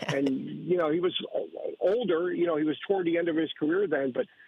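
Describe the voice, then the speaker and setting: A very fast-paced, high-pitched male voice with ordinary pitch variation. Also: long, frequent pauses, very even loudness. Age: 60s. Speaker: caller. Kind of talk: casual chat.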